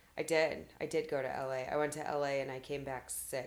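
A raspy, put-on character voice speaks at a moderate pace with monotone, flat intonation. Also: woman, very deep, low pitch for a woman.

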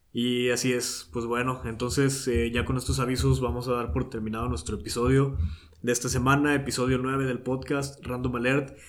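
Against audible room echo, a man speaks at a moderate pace with a medium pitch and fairly even intonation. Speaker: podcast host. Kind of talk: casual chat. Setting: home recording studio.

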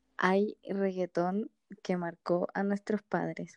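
Speaking in a Chilean accent, a woman talks very slowly at medium pitch in a monotone, flat intonation. The recording is dry and close, with no echo. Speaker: podcast co-host. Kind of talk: casual chat.

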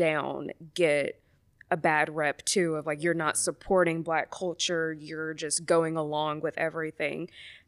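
A woman with an ordinary speaking voice and an American accent talks at a fairly low pitch and fairly slow pace. The recording is very clean, dry and close with no echo and a silent background. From US South, Mobile, Alabama. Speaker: psychologist. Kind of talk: casual chat.

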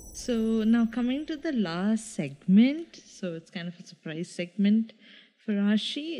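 In a Keralan accent, a woman speaks at a fairly high pitch with very wide pitch swings. Her tone is dark and mellow and somewhat breathy. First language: Malayalam. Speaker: podcast co-host. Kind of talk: casual chat.

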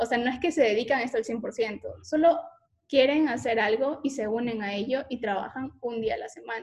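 Fairly high in pitch, a woman uses a normal speaking voice at a moderate pace with ordinary pitch variation. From Ecuador, coastal region (La Concordia). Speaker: podcast host. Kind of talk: casual interview.

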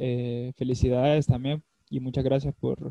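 A man's medium-pitched voice with a dark, mellow tone, monotone, flat intonation and a fairly slow pace, in a dry, close recording with no echo. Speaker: former footballer and psychology student. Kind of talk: casual chat.

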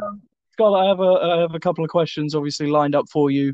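A man's voice in a dry, close sound with no echo against a quiet background. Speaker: podcast host. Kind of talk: interview. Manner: monotone.

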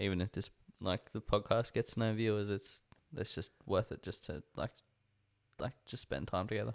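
The speaker keeps a moderate pace with ordinary pitch variation. The recording is very clean, with a silent background and a dry, close sound with no echo. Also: man. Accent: Australian. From Australia. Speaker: podcast co-host. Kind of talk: casual chat.

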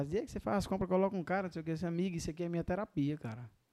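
On a very clean recording, silent background, a man with a northeastern Brazilian accent speaks at a fairly high pitch with a dark, mellow tone and ordinary pitch variation. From Paraíba, Brazil (Northeast). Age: 30s. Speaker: restaurant entrepreneur. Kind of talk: casual interview.

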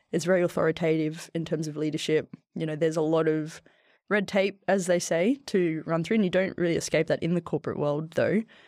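Against a quiet background, a woman with an Australian accent talks at a fairly quick pace, with a fairly low pitch and fairly even intonation. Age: 30s. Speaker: former soldier and athlete, tech worker. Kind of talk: casual interview chat. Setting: podcast studio.

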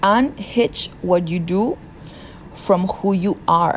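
In a Peruvian accent, a woman speaks at a fairly low pitch. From Peru (rural south). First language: Spanish. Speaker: podcast host. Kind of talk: solo self-help monologue.

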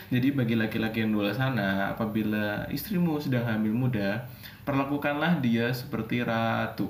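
Noticeable background noise and audible room echo fill the space as a man talks at a moderate pace. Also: medium pitch for a man, ordinary pitch variation, very even loudness. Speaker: podcast co-host. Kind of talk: casual chat.

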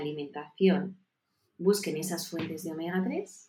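A woman with a normal speaking voice talks at a fairly slow pace and fairly low pitch, with ordinary pitch variation. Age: 40s. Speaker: nutrition and health advisor. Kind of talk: interview.

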